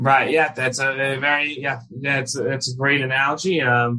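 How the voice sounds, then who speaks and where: With a New York accent, a man speaks at a medium pitch with fairly even intonation. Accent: American, New York area. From US, New York area. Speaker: rabbi and Israel commentator. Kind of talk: interview conversation.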